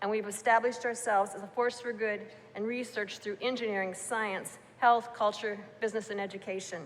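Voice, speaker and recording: A woman with an American accent speaks fairly quickly in a fairly high, flat monotone over noticeable background noise. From US Midwest, Iowa. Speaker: university executive. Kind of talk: ceremonial speech. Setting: town hall with audience. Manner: formal.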